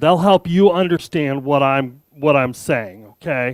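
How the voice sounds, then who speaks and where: Recorded with a dry, close sound, no echo and a very clean, silent background, a man speaks with an American accent. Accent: American, speaker says he has an. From Arizona, US. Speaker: tech developer advocate, conference speaker. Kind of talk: conference keynote talk. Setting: stage with audience, hybrid event. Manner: animated, joking.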